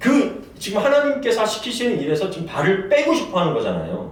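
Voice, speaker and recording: A man at a moderate pace with very wide pitch swings, amid audible room echo and noticeable background noise. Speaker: pastor. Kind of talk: sermon.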